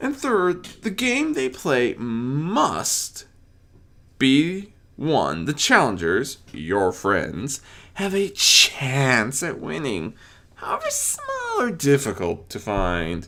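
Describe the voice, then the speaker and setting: The speaker uses a put-on character voice at a low-to-middle pitch. The pace is very slow. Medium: read story. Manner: playful, theatrical.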